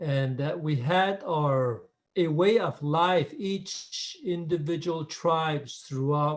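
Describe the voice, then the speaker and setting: A man with an American accent at a very slow pace. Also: fairly high pitch for a man, ordinary pitch variation. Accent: Navajo English. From Navajo Nation, US Southwest. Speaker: spiritual leader. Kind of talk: recorded talk. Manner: halting.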